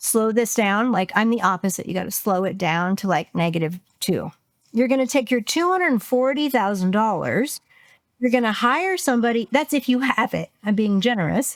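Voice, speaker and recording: A woman speaks in an animated tone at a fairly high pitch. Her intonation is lively. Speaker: business coach. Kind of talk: interview. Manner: fast.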